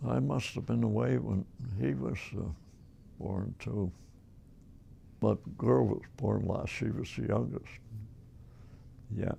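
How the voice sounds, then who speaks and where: With a Nova Scotian accent, a man speaks at a fairly slow pace in a very deep, low, dark and mellow voice with vocal fry, very wide pitch swings and long, frequent pauses. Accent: Nova Scotian Canadian English. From Nova Scotia, Canada. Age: 80s+. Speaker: elderly man recounting his life. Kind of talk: oral history interview. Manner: halting.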